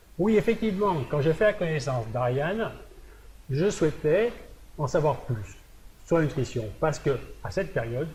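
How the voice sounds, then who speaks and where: A man with a fairly high voice and a dark, mellow tone speaks at a fairly slow pace, his pitch swinging very widely. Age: 60s. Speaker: fitness coach. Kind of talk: presentation video.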